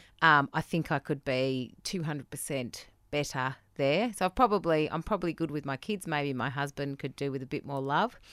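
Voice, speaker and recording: A woman's very deep, low voice with an Australian accent, ordinary pitch variation and hardly any pauses, dry and close with no echo. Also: moderate pace, very clean recording, silent background. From New South Wales mid-north coast, Australia. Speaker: marketing business owner.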